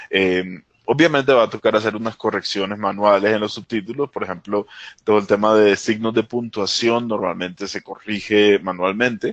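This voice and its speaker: With a Caribbean accent, the speaker keeps a moderate pace and fairly even intonation in a dry, close sound with no echo over a quiet background. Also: man, fairly low pitch for a man. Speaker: technology presenter. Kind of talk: webinar tutorial. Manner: hesitant, many fillers.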